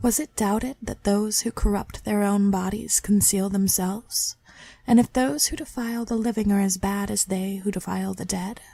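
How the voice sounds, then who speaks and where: At a moderate pace, the speaker uses a dark, mellow tone, somewhat breathy, with fairly even intonation. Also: woman, medium pitch for a woman. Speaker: amateur reader. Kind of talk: poetry reading.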